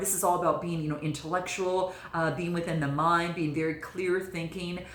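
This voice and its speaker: A woman speaks with a fairly low pitch. Noticeable background noise and audible room echo are present. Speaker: tarot reader. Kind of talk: tarot reading monologue. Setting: by candlelight. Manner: speaking low; halting, many fillers.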